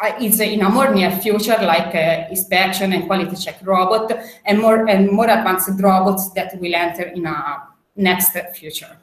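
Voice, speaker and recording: A woman talks at a moderate pace with fairly even intonation. Room echo is audible. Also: medium pitch for a woman. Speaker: robotics expert. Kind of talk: panel presentation. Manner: hesitant, many fillers.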